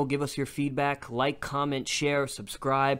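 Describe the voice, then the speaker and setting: A man with an American accent talks at a fairly slow pace and a fairly high pitch on a very clean recording with a silent background. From New York. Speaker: podcast host. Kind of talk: casual chat. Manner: animated.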